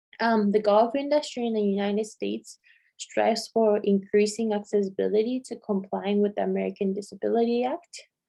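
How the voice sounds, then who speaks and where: A woman with a non-native accent speaks at a fairly quick pace. Her pitch is medium and her intonation fairly even. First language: not English. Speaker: doctoral student presenting research. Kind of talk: conference presentation. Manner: halting, with fillers and restarts.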